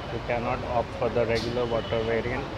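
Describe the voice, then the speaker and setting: Against loud background noise, a man talks at a fairly slow pace. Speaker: food vlogger. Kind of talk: casual restaurant review commentary. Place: cafe. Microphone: phone near.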